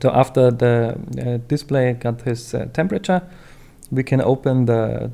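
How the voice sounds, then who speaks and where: A man speaks with a non-native accent. His voice sits at medium pitch with a dark, mellow tone. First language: not English. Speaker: phone repair tutorial maker. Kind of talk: tutorial. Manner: hesitant, many fillers.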